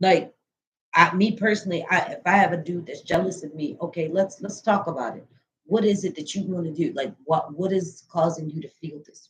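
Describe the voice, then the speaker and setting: Loudness rises and falls in big swings at a fairly quick pace. Pitch varies in an ordinary way. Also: woman, fairly low pitch for a woman. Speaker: mental health professional. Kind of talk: casual chat.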